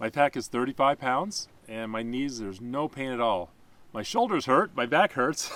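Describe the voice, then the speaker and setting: Recorded very cleanly with a silent background and a dry, close sound with no echo, a man talks at a medium pitch with ordinary pitch variation. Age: 60s. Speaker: hiker with knee replacements. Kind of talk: casual interview on the trail. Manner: halting, with many fillers.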